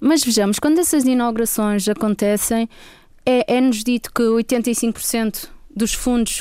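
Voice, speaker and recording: A woman speaks fairly slowly with a fairly high pitch. Her tone is dark and mellow, with ordinary pitch variation. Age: 30s. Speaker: politician. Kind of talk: radio interview. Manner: halting.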